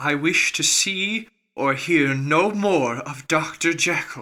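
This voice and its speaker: A man's shaky, put-on character voice, high-pitched and at a fairly slow pace. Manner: loud, emphatic, distressed.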